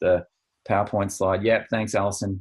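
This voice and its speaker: Somewhat breathy, a man speaks at a moderate pace and fairly low pitch with fairly even intonation. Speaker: financial planning coach. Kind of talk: webinar presentation. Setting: online webinar.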